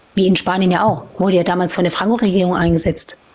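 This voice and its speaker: Noticeable background noise sits behind the voice. A woman talks at a very fast pace. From Palatinate, Germany. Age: 30s. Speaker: live stream participant, parent. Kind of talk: casual discussion.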